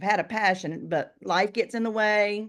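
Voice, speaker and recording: An unremarkable speaking voice moves at a moderate pace over a quiet background. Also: woman. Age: 60s. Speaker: real estate agent. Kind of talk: casual interview. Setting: video call.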